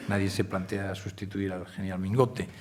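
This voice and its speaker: Audible room echo surrounds a man talking at a moderate pace. His pitch is fairly low. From Galicia, Spain. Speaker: newspaper editor. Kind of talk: Q&A at a public forum. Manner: hesitant fillers.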